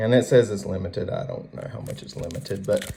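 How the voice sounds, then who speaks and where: A man speaks with a Southern US accent. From US South. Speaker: card collector YouTuber. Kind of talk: casual chat. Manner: relaxed, with fillers.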